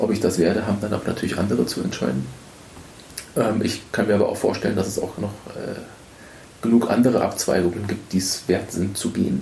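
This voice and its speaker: Noticeable background noise and audible room echo surround a man with a fairly low pitch. He talks at a fairly quick pace with lively intonation and long, frequent pauses. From Bavaria (Munich), with Spanish and East Frisian parents. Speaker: archaeology postdoc. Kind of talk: podcast interview.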